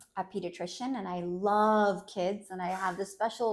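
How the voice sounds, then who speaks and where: A woman has an unremarkable speaking voice at medium pitch. She talks at a moderate pace. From United States (Colombian-born, moved at six). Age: 30s. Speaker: clinical psychologist. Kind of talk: personal interview testimony.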